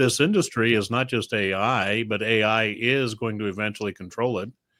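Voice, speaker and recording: A man's bright, sharp tone at a moderate pace, with fairly even intonation. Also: hardly any pauses. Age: 60s. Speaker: radio executive. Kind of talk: casual chat. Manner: halting.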